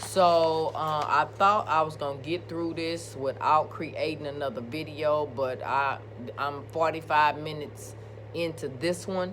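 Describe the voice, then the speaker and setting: A woman with an American accent speaks in a very deep, low voice. Her words carry an audible room echo over music in the background. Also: ordinary pitch variation, fairly slow pace. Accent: country, rural US. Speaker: nursing instructor. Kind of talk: lecture. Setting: recorded video presentation.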